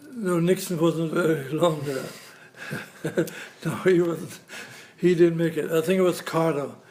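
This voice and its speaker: Against noticeable background noise, a man with a high pitch talks at a fairly slow pace with fairly even intonation and long, frequent pauses. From Poland. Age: 80s+. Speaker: retired grandfather, former army medic. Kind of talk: family history interview. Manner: halting.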